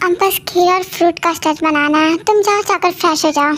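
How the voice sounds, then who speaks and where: In a put-on character voice, a woman squeaks at an extremely high pitch, speaking fairly quickly with fairly even intonation over clear background noise. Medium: audio drama. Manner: brisk, fussing, sends people off.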